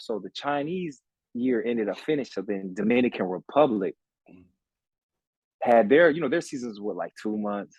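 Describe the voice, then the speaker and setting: Lively intonation marks this man's medium-pitched voice at a moderate pace. The sound is dry and close, with no echo. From Los Angeles, US. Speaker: former pro basketball player. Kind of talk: casual interview chat. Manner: animated.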